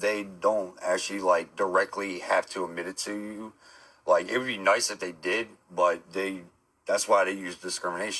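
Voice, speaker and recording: Speaking at a moderate pace, a man with a New Jersey accent makes big swings in loudness. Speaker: streamer. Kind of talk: live stream chat.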